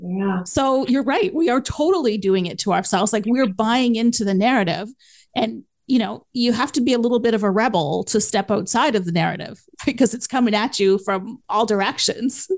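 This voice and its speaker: Over a quiet background, an ordinary speaking voice moves at a moderate pace with lively intonation. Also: woman, fairly high pitch for a woman. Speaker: podcast host. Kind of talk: casual interview chat.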